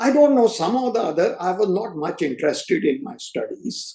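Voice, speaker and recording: Moderate pace and lively intonation from a man. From North India, Punjabi family raised in Delhi. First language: Hindi/Punjabi. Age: 70s. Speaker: retired chef. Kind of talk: interview, life story. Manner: hesitant, many fillers.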